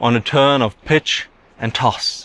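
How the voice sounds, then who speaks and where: A non-native accent at a very slow pace, with ordinary pitch variation. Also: man. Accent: weird foreign accent in English. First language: German. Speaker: YouTube commentator. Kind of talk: monologue.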